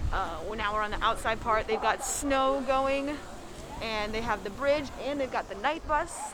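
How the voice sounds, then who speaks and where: Noticeable noise sits behind a woman whose voice is high in pitch. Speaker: theme park vlogger. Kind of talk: casual vlog commentary on a tour. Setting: outdoors in winter set.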